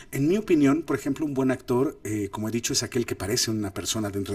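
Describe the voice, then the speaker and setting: The recording is very clean and the background silent. It features a man talking. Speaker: film director and acting coach. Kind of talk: lecture. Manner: animated.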